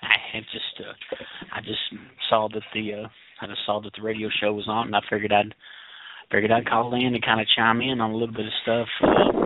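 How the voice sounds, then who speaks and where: With a Tennessee accent, a man speaks at a fairly low pitch in a monotone, flat intonation, fairly quickly but with long, frequent pauses. His loudness swings widely, and noticeable background noise is present. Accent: Tennessee Southern. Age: 30s. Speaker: caller. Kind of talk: casual call-in chat. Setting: phone call to radio show. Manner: repetitive, halting starts.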